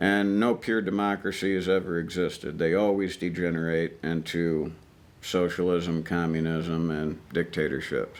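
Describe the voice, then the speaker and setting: A man with an Ozarks accent and a very deep, low pitch talks at a moderate pace, with very even loudness and fairly even intonation. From US, Ozarks (Missouri). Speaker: army veteran. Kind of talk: interview conversation. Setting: outdoor shooting range.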